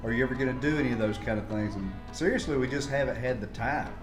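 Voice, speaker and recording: A man speaks at a very fast pace with ordinary pitch variation while music plays in the background. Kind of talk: casual cooking talk to camera.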